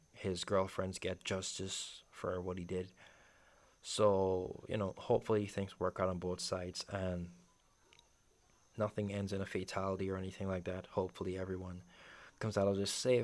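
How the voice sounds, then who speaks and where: Monotone, flat intonation at a moderate pace, with long, frequent pauses, on a very clean recording with a silent background. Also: man, very deep, low pitch for a man. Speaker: YouTuber. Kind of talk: unscripted commentary video. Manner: halting, repeating words; rambling casual.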